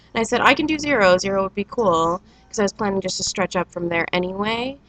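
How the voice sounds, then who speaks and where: Through noticeable background noise, a woman rushes along at a very fast pace, medium in pitch with lively intonation. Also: dry, close sound with no echo. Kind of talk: casual talk to camera. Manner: hesitant, many fillers.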